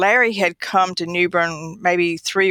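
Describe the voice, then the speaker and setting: With a North Carolina accent, a woman talks at a fairly low pitch, and the sound is dry and close with no echo. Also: very clean recording, silent background. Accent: Southern US (North Carolina). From northeastern North Carolina. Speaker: radiologist. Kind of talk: interview.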